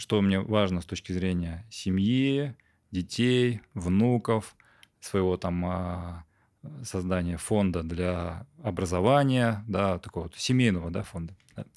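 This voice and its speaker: A man speaks very slowly in a very deep, low pitch with ordinary pitch variation. The background is quiet. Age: 30s. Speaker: entrepreneur; podcast guest. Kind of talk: interview. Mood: calm, reflective. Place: studio. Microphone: studio mic.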